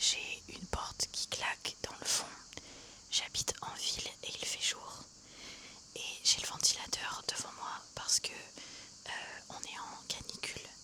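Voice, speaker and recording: Whispering in a relaxed tone, a woman speaks very slowly with big swings in loudness. Noticeable background noise sits behind her. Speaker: ASMR creator. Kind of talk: ASMR unboxing, casual talk to camera. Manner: soft-spoken, chatty, relaxed.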